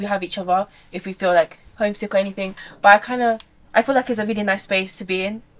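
The pace is very fast. Intonation stays fairly even. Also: woman. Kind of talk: casual piece to camera. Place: boat.

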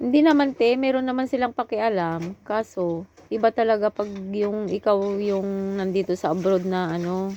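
Against a quiet background, a woman speaks at a medium pitch with a dark, mellow tone and ordinary pitch variation. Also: moderate pace. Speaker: OFW vlogger. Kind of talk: casual chat.

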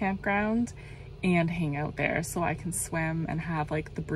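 A woman's unremarkable speaking voice, fairly low in pitch, at a fairly slow pace with ordinary pitch variation, dry with no echo, over light background noise. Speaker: van life vlogger. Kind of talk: casual vlog chat. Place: car. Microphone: phone near.

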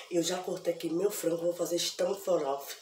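A woman with a fairly low pitch speaks at a moderate pace amid light background noise and audible room echo. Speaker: home cooking vlogger. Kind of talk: casual vlog chat. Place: kitchen.

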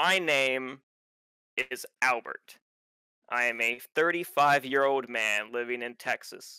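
Putting on a robotic character voice, a man speaks at a medium pitch and a very slow pace, leaving long, frequent pauses. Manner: flat, unnatural pauses.

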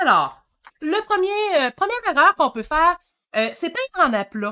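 A woman's raised, projected voice at a moderate pace, animated and bright, sharp in tone, with very wide pitch swings. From Quebec. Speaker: painting teacher. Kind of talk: live-stream painting tutorial. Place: home room. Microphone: webcam.

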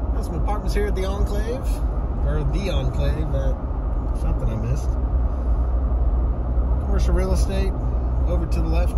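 Long, frequent pauses break up speech at a moderate pace over loud background noise. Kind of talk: casual drive-along commentary. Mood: relaxed, friendly. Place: car. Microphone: phone near.

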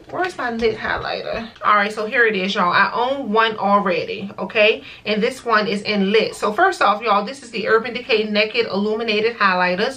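Her pitch varying in an ordinary way, a woman talks at a moderate pace. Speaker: beauty vlogger. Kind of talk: casual vlog chat. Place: home room.

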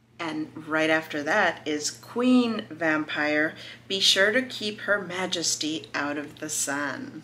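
Over light background noise, a woman talks very slowly in a very deep, low voice with lively intonation. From California, US. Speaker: crochet YouTuber. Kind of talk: casual video review of a crochet book. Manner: animated. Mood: warm, enthusiastic. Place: home room.

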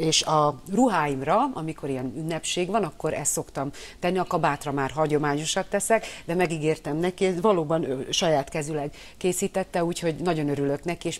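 Here a woman talks at a fairly quick pace. Her pitch is very deep and low, with ordinary variation. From Hungary. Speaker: opposition politician. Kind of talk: TV news interview. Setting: studio. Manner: animated. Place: studio.

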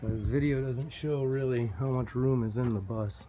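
A man talks at a medium pitch with fairly even intonation. Light background noise can be heard. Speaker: vlogger living in a converted bus; bus conversion vlogger. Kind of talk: casual video walkthrough. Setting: inside a bus. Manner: casual, hesitant with fillers. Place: bus. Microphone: phone near.

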